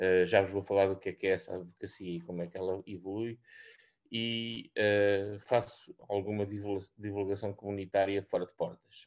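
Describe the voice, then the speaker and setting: Over a quiet background, a man with a normal speaking voice talks at a fairly quick pace, his fairly low pitch held in fairly even intonation. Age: 60s. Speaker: senior research scientist. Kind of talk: presentation. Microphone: video call.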